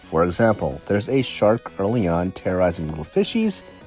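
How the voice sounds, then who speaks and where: The voice moves through very wide pitch swings. Music plays in the background. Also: man. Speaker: game reviewer. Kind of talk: video game review narration.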